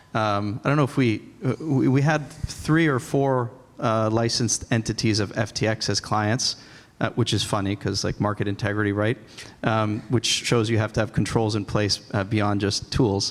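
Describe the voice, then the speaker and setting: An unremarkable speaking voice from a man with an American accent, medium pitch, ordinary pitch variation, moderate pace, and very even loudness. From Boston. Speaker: compliance tech executive. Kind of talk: conference panel discussion.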